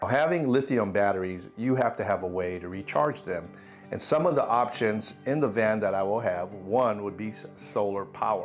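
Faint music plays behind a man who speaks at a moderate pace with a fairly low pitch. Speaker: product reviewer. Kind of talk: product review tutorial. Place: home room. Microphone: lapel.

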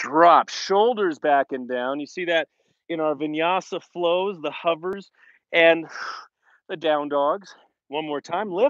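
The speech comes at a very slow pace with long, frequent pauses and ordinary pitch variation, in dry, echo-free sound over a quiet background. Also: man, high pitch for a man. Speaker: fitness instructor. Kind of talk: workout instruction. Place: open country. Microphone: earbuds.

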